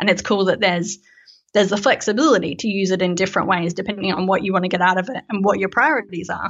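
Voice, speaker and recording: A very fast-talking woman with an Australian accent. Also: medium pitch for a woman, ordinary pitch variation. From Australia, Melbourne. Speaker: software developer and company co-founder. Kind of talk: casual interview chat.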